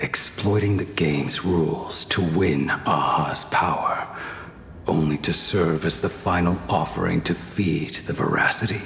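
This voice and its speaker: In a put-on character voice, a man talks at a moderate pace with a very deep, low pitch, slight echo and clear background noise. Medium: machinima. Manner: formal, calm.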